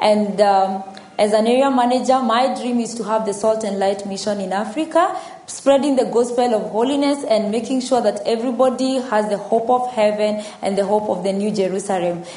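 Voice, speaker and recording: A woman talks at a moderate pace, her pitch varying normally, with noticeable noise in the background. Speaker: church member. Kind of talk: testimony.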